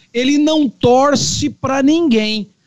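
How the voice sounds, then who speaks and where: This man talks at a very slow pace. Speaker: lawyer, panelist. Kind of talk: casual political discussion. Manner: formal.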